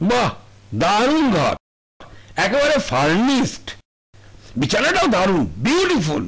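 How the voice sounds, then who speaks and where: A man uses a put-on character voice at an extremely high pitch, with very wide pitch swings. He speaks at a fairly slow pace. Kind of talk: reflective first-person voice-over. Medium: short film.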